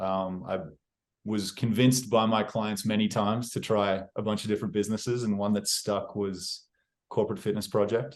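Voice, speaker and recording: There is an Australian accent in the speech. Little sound comes from behind it. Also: man, fairly low pitch for a man, fairly even intonation, moderate pace. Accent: Australian accent, noticeable to others. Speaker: real estate agent. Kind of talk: interview. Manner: casual, with many fillers and restarts.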